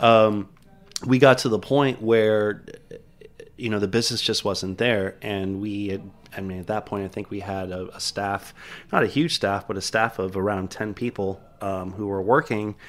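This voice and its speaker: A man with an American accent has an ordinary speaking voice, fairly low in pitch, with fairly even intonation at a moderate pace. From Miami, Florida. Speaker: bar and restaurant owner. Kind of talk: casual interview. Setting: studio.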